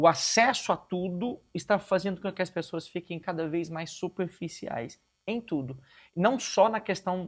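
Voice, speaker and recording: A man's high-pitched voice at a fairly slow pace, on a very clean recording with a silent background. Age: 50s. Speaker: pastor. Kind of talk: interview conversation. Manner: halting.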